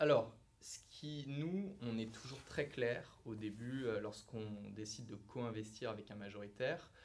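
Speaking at a fairly slow pace, a man has a medium pitch with ordinary pitch variation, and the room echo is audible. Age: 30s. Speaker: private equity investment manager. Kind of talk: interview.

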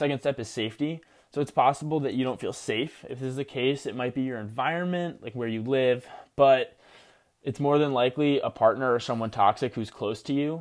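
A man with an American accent speaks fairly quickly in an unremarkable speaking voice, medium in pitch with ordinary pitch variation. The recording is very clean, with a silent background. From New Jersey. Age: young. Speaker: podcast host, university student. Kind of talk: solo self-help monologue.

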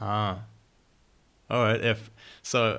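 On a very clean recording with a silent background, a man speaks at a fairly low pitch with monotone, flat intonation. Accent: German. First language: German. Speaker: podcast host. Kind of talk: casual interview. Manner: halting, hesitant.

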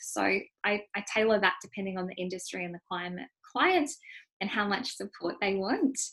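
An unremarkable speaking voice comes from a woman. Her pitch sits in the medium range. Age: 30s. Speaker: nutritionist and coach. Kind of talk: interview.

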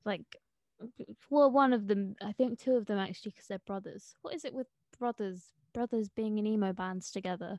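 A woman's unremarkable speaking voice at a fairly high pitch and moderate pace, with ordinary pitch variation, a dry, close sound with no echo, and a quiet background. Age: young. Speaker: student podcast host. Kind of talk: casual interview.

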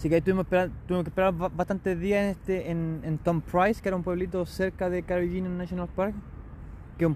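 Very fast, a man with a Chilean accent talks at a high pitch. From Chile, Concepción. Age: 30s. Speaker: barista and traveller. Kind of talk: casual interview.

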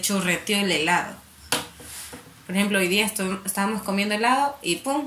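The speaker uses lively intonation at a moderate pace while noticeable background noise runs underneath. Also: woman. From coastal Ecuador, Santa Elena. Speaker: podcast co-host. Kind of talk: casual chat.

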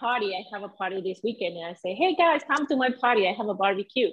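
This is a woman speaking in a Venezuelan accent. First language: Spanish. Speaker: salsa dancer and mindset coach. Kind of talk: casual interview chat.

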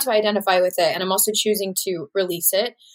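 A woman with an American accent talks at a fairly quick pace in a normal speaking voice. Her pitch is medium, with ordinary variation. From Texas, San Antonio. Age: 20s. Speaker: actor and singer-songwriter. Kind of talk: casual interview.

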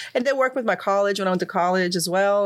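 With a Croatian accent, a woman of medium pitch talks at a very fast pace, her pitch varying in an ordinary way. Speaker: financial services professional. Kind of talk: interview. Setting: studio.

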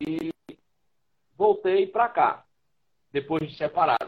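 The pace is moderate. Pitch rises and falls in an ordinary way. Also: man. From Brazil, Ceará (Fortaleza). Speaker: writer, musician and radio host. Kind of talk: casual interview. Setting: live stream on social media.

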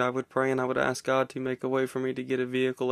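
This very clean recording of a man at a medium pitch has a silent background and a dry, close sound with no echo. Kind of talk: devotional testimony talk. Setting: home recording with kids in background.

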